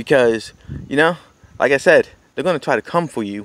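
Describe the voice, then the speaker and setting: A man with an American accent speaks fairly quickly at a medium pitch. His intonation is lively, and the sound is dry and close with no echo. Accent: speech affected by partial deafness. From United States. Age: young. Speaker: political commentator vlogger. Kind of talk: political monologue. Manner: halting, many fillers and restarts.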